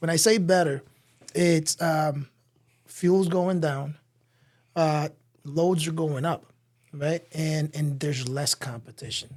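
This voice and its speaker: A man with an American accent speaks at a very slow pace and a fairly high pitch, with fairly even intonation and long, frequent pauses. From Dominican Republic and US Virgin Islands. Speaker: truck dealer. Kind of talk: casual chat. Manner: halting.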